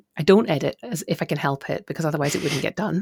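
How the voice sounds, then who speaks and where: Heard in a very clean recording with a silent background, the voice carries a Scottish accent. The sound is dry and close, with no echo. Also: woman. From Scotland. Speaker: author and podcaster. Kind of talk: casual interview chat.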